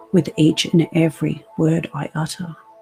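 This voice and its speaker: With music in the background, a woman speaks at a fairly slow pace. Her voice is very deep and low in pitch, with a soothing tone. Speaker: hypnotherapist. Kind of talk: guided hypnosis session. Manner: slow, soothing.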